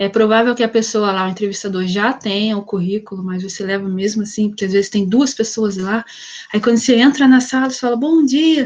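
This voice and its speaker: Someone with an ordinary speaking voice talks at a fairly quick pace with ordinary pitch variation. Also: woman, fairly high pitch for a woman. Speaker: psychologist, career talk guest. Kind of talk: online talk with Q&A. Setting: video call. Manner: casual, conversational.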